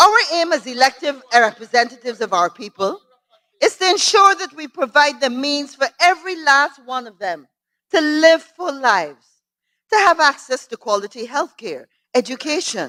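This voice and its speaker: Her bright, sharp tone rings out as a woman projects a raised voice at a high pitch, moderate pace, very wide pitch swings and big swings in loudness, in a dry, close sound with no echo. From Guyana. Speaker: member of parliament. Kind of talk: parliamentary speech. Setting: parliament chamber. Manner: formal.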